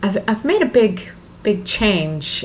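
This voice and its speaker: A woman speaks at a very slow pace. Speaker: self-help vlogger. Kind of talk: motivational vlog monologue. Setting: talking to camera. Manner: halting, many fillers.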